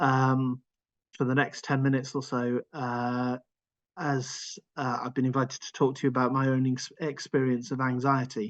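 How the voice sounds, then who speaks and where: Speaking in a medium-pitched voice, a man keeps a monotone, flat intonation at a moderate pace. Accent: Welsh. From Wales (Cardiff). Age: 50s. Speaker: charity executive speaking on his own anxiety. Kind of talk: personal testimony in a webinar. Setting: online webinar. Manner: halting, many fillers and repetitions.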